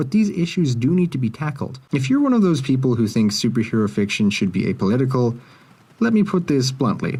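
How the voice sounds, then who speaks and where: A man with a dark, mellow tone and a somewhat breathy delivery talks at a fairly quick pace. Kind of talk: video essay commentary. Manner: sleepy, mumbling.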